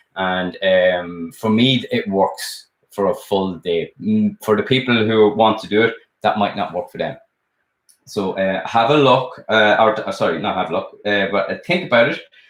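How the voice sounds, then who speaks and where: In an Irish accent, a man talks at a moderate pace. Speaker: sculptor and art teacher. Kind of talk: live stream chat. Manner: casual, hesitant with many fillers.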